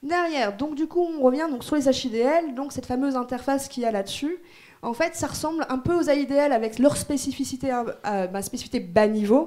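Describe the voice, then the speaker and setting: A woman's high voice with ordinary pitch variation. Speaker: conference speaker on Android security. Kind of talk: technical conference talk. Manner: fast; casual, hesitant with fillers.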